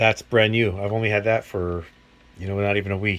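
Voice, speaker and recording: There is noticeable background noise. A man talks at a fairly low pitch with fairly even intonation. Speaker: mechanic. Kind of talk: tool review video. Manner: stuttering; casual, hesitant.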